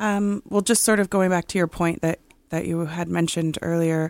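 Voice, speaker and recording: A woman's fairly low voice with a Canadian accent, a plain, everyday voice with ordinary pitch variation, in a very clean recording with a silent background and a dry, close sound with no echo. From Six Nations of the Grand River, Ontario. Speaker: university student. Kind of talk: radio interview.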